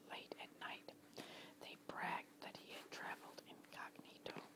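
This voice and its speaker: The speaker is whispering. Background noise is noticeable. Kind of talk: whispered story narration, history reading. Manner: whispered.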